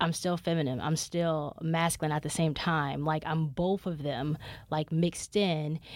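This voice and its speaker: On a very clean recording with a silent background, a woman speaks in a normal speaking voice at a moderate pace, her pitch fairly low and her intonation fairly even. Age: 20s. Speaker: podcast host. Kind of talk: solo podcast monologue, casual chat.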